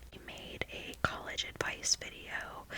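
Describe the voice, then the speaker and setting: A woman whispers over noticeable background noise. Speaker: ASMR creator. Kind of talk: ASMR whispered ramble. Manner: whispered.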